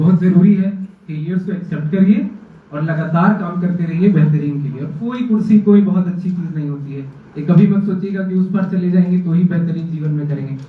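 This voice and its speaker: Speech with a Jharkhand accent at a moderate pace and fairly even intonation, with audible room echo and noticeable background noise. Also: man, high pitch for a man. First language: Khortha (speaking Hindi). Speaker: civil service exam topper. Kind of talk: motivational talk to students.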